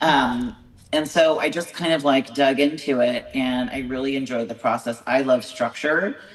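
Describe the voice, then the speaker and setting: A woman with an American accent and a very deep, low pitch, speaking at a moderate pace with ordinary pitch variation over noticeable background noise. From California. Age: 40s. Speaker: bodybuilding show promoter and competitor. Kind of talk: podcast interview. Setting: video call.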